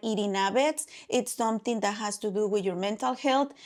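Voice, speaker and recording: A very clean recording of a woman with a fairly high pitch, the background silent. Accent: Mexican. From Mexico. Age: 40s. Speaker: podcast co-host. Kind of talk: casual chat. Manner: animated.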